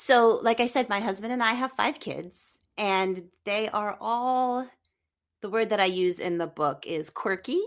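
On a very clean recording with a silent background, a woman speaks fairly slowly. She has an ordinary speaking voice, pitched fairly high. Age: 40s. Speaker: author. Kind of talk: interview.

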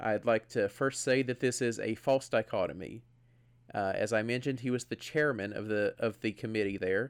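The recording is very clean, and the background is silent. A man speaks in a normal speaking voice at a medium pitch, with fairly even intonation and a moderate pace. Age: 20s. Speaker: podcast co-host. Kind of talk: casual chat.

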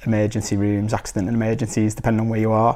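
A man talks at a very fast pace in a Liverpool accent. The recording is very clean, with a silent background. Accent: Scouse (Liverpool). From Liverpool, England. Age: 30s. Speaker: life coach. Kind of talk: personal storytelling monologue. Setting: recorded video. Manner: casual, with frequent fillers and restarts.

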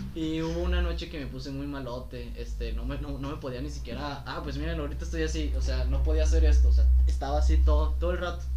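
Very deep and low, a man's voice runs at a very fast pace with hardly any pauses and monotone, flat intonation. Noticeable background noise and audible room echo surround it. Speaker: podcast co-host, cook. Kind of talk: casual chat.

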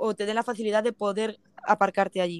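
A woman's normal speaking voice, fairly high in pitch and at a moderate pace, in a very clean, dry, close recording with a silent background and no echo. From Spain, province of Toledo. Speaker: van traveler. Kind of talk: casual interview.

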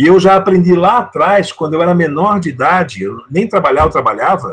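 Speaking with a high pitch, a man uses lively intonation. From Brazil, São Paulo city. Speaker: sales trainer and author. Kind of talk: interview.

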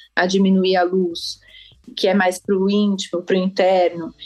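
The pace is fairly quick. A woman talks with monotone, flat intonation. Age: 30s. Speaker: architect and feng shui consultant. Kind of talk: podcast interview.

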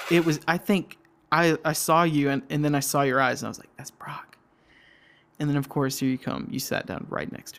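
Speaking at a fairly quick pace with a Southern US accent, a man uses a fairly high pitch, ordinary pitch variation and big swings in loudness. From US South, Georgia. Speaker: middle school worker. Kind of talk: casual chat.

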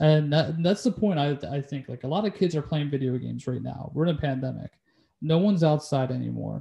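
A man with a Philadelphia accent talks at a very fast pace, his voice somewhat breathy. His tone is dark and mellow, fairly high in pitch, with ordinary pitch variation. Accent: Philadelphia area English. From Delaware County, Pennsylvania. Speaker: podcast host. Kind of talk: casual chat.

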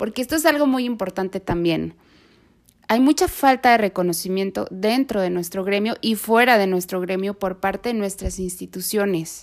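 Recorded very cleanly against a silent background, a woman speaks at a moderate pace. Her medium-pitched voice shows ordinary pitch variation. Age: 30s. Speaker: nurse and podcast host. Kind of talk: solo podcast monologue.

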